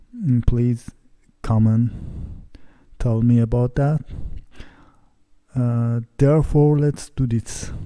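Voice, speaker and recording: Speaking at a very slow pace with long, frequent pauses, a man with a non-native accent keeps a fairly even intonation at medium pitch, his tone dark and mellow. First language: not English. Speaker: CNC hobbyist woodworker. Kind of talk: software tutorial. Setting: home. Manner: halting.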